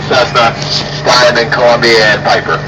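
A man is speaking over loud background noise. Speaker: ride tour guide. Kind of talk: tour announcement commentary.

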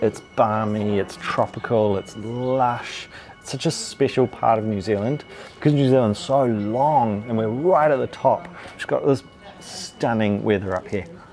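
Faint music plays in the background as a man speaks at a fairly slow pace. His pitch varies in an ordinary way. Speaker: food travel host. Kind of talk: casual food vlog commentary. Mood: relaxed, enthusiastic. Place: cafe. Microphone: lapel.

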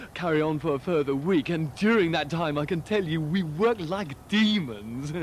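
A man speaks at a moderate pace with lively intonation. The sound is dry with no echo, over light background noise. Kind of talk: animated anecdote to camera. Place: garden.

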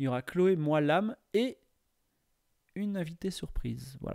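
A man's lively intonation over a quiet background. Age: 40s. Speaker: streamer. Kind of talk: casual chat. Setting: live stream. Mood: cheerful, birthday stream. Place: home room. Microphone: studio mic.

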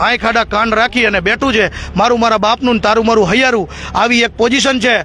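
A man speaks in a raised, projected voice with fairly even intonation. Noticeable background noise runs underneath. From Gujarat, Morbi district. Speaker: press reporter and swimmer rescuer. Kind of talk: interview.

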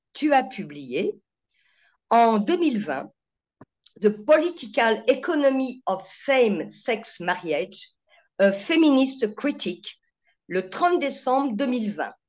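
A woman speaks at a fairly high pitch with vocal fry and very wide pitch swings. Her pace is very slow, with long, frequent pauses. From France. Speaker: webinar host. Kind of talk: formal introduction. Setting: video call.

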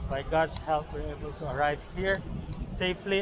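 Noticeable background noise sits behind a monotone, flat delivery at a moderate pace. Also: man. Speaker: travel vlogger. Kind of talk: casual vlog chat.

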